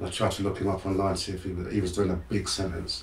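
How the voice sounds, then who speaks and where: Audible room echo surrounds a man who talks at a very fast pace in a very deep, low, somewhat breathy voice. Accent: English. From London, England. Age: 60s. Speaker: motivational speaker. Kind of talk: interview storytelling. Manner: animated.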